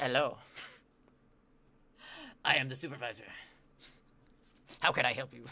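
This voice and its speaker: In a put-on character voice with a low-to-middle pitch, the speaker goes at a moderate pace with long, frequent pauses. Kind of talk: formal, professional. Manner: fake, put-on, formal customer-service.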